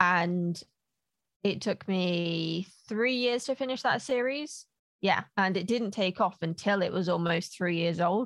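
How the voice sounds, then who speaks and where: A woman at medium pitch with an unremarkable speaking voice talks at a fairly slow pace, her intonation lively and her loudness very even. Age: 30s. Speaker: author and writing coach. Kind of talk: casual interview.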